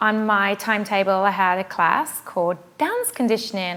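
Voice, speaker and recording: A woman with a British accent. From England. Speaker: pilates instructor. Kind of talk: self-introduction.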